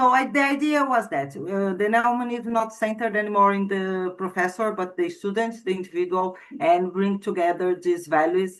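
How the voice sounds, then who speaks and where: The speaker has a non-native accent and talks at a moderate pace. The background is quiet. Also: woman. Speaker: student. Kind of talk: class discussion report. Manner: halting.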